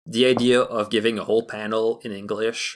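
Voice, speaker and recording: Fairly low in pitch, a man speaks with a Quebec accent and fairly even intonation. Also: very clean recording, silent background. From Quebec (Montreal). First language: French. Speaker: fan animator. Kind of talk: casual chat. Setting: podcast recording.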